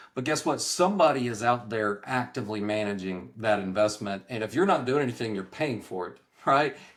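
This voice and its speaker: A man speaks with an East Texas accent in a medium pitch, with ordinary pitch variation. He moves at a fairly quick pace with hardly any pauses. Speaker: real estate professor. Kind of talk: interview.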